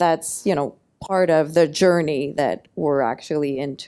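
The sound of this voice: This woman has a low pitch and a dark, mellow tone. She speaks fairly slowly with ordinary pitch variation.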